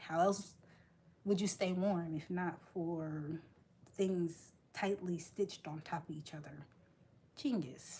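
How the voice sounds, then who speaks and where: With an American accent, a woman speaks at a very slow pace with long, frequent pauses, her fairly low, somewhat breathy voice carrying a dark, mellow tone, fairly even intonation and big swings in loudness. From United States. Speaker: crochet live streamer. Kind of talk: casual chat with live chat readers.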